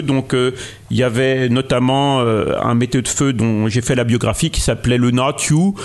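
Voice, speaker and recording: Against noticeable background noise, a man talks at a medium pitch and a fairly slow pace. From Morvan, Burgundy. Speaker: local historian and author. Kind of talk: interview. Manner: halting, many repetitions.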